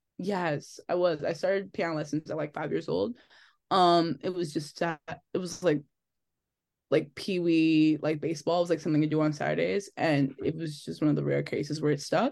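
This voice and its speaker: With an American accent, this voice shows vocal fry and ordinary pitch variation against a quiet background. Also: woman, very deep, low pitch for a woman, moderate pace. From New Jersey, Linden. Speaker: singer-songwriter. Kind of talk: casual interview.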